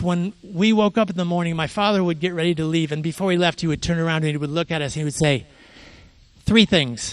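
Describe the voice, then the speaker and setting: A man with an American accent, high in pitch, with ordinary pitch variation. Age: 60s. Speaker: photographer. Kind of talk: artist talk.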